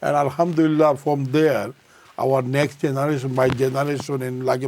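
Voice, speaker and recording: Against noticeable background noise, a man speaks in a monotone, flat way at a fairly high pitch. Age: 60s. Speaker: restaurant owner. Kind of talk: TV panel discussion. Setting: TV studio.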